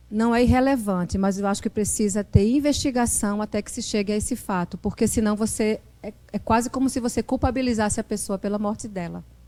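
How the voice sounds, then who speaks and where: A woman's fairly high-pitched voice with a dark, mellow tone, fairly even intonation and a fairly quick pace. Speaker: journalist and professor. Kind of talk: lecture. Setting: classroom with live audience. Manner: hesitant, with many fillers and repetitions.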